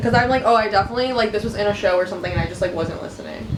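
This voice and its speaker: A woman mumbles at a very fast pace in a fairly high pitch, with noticeable background noise behind her. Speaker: vlogger. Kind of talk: casual chat. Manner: mumbling; quiet.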